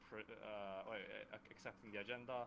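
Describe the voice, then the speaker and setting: A man speaks with a fairly low pitch at a moderate pace. His intonation is monotone and flat. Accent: Swedish. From Sweden. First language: Swedish. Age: 20s. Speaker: student and democracy platform developer. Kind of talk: online meeting self-introduction. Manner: halting, with frequent stutters.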